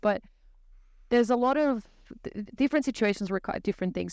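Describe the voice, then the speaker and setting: A woman speaks with ordinary pitch variation. The recording is very clean with a silent background and a dry, close sound with no echo. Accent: Brazilian. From Brazil. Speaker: technology services consultant. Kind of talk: podcast interview.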